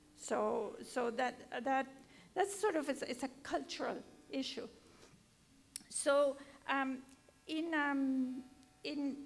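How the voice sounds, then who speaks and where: Her voice is high in pitch. She is a woman speaking with a Spanish accent. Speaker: education professor. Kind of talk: panel discussion. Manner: halting.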